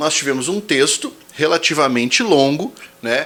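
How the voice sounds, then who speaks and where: A man speaks with a Brazilian accent. His pitch swings very widely over noticeable background noise. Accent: Brazilian accent when speaking English. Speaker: exam prep teacher. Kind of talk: tutorial. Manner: casual, conversational.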